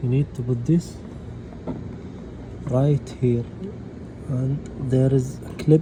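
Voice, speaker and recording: Over noticeable background noise, the speaker talks in a Gulf Arabic accent at a very slow pace with long, frequent pauses and a monotone, flat intonation. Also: man, medium pitch for a man. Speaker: DIY car repair youtuber. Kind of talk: tutorial. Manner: halting.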